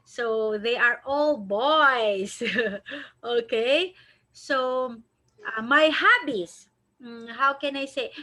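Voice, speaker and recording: A woman with a high pitch uses a raised, projected voice at a very slow pace, leaving long, frequent pauses, with ordinary pitch variation and big swings in loudness. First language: not English. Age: 40s. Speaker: online English teacher. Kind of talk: online tutoring lesson.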